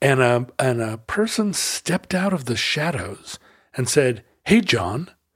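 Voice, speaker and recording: Somewhat breathy and medium in pitch, a man speaks at a fairly slow pace. His pitch swings very widely. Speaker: podcast host. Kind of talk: casual banter between co-hosts.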